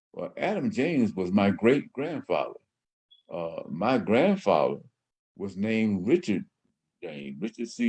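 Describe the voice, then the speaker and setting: Dark and mellow in tone, a fairly low male voice. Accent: Southern US. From US South, southwest Georgia. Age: 70s. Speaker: radio host. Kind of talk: personal storytelling monologue. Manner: halting, many fillers.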